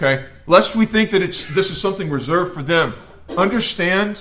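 His pitch swinging very widely, a man speaks with an American accent. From US South, rural Georgia. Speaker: pastor. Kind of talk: sermon. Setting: church.

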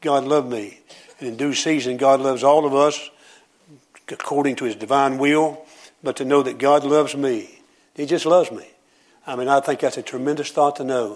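With a Southern US accent, the speaker talks at a moderate pace with fairly even intonation. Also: man. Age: 70s. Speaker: preacher. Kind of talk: sermon. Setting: church.

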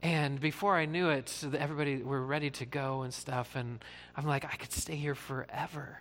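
A man with a normal speaking voice and a fairly high pitch talks at a moderate pace with fairly even intonation. The recording is very clean, with a silent background. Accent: American. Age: 40s. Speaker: pastor. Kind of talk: sermon. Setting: church.

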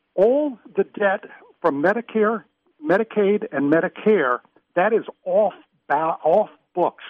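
A man with an American accent, high pitch and lively intonation, at a fairly slow pace broken by long, frequent pauses. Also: very even loudness. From US Midwest, Minnesota. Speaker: caller. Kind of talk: call-in radio comment. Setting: phone call.

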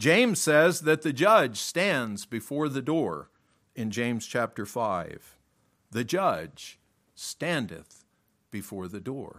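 On a very clean recording with a silent background, a man speaks at a very slow pace with vocal fry. His medium pitch moves in very wide swings. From US South, Miami, Florida. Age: 60s. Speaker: preacher. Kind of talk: sermon. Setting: church.

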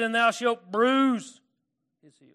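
Against a quiet background, a man with an Arkansas accent uses a raised, projected voice, high in pitch, with a bright, sharp tone and fairly even intonation. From California. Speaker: preacher. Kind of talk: sermon. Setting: church. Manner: halting, self-deprecating, casual.

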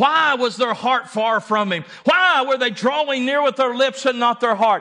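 Over noticeable background noise, a man uses a raised, projected voice at an extremely high pitch. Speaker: preacher. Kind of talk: sermon. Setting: church. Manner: emphatic, preaching with urgent, pulpit-style delivery; call-and-response, pressing the congregation to answer.

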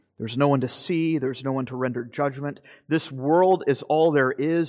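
A man with a normal speaking voice, fairly high in pitch and fairly even in intonation, against a quiet background. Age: 40s. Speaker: pastor. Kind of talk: sermon.

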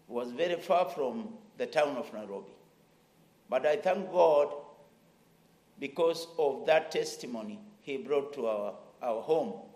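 The voice is dark and mellow with vocal fry, and its pitch swings very widely. It moves at a fairly slow pace with long, frequent pauses. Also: man, fairly high pitch for a man. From Kenya. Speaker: missionary pastor. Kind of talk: testimony. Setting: church service.

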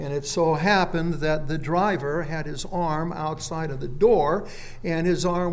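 A man with an American accent and a fairly high pitch, at a moderate pace, with noticeable background noise and audible room echo. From Phoenix, Arizona. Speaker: pastor. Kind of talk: sermon. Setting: church.

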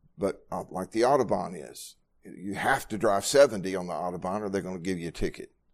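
In an ordinary speaking voice, a man talks at a fairly quick pace and fairly low pitch, his loudness swinging widely on a very clean recording with a silent background. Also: ordinary pitch variation. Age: 60s. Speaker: pastor. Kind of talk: Bible study sermon. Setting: church with congregation, livestreamed.

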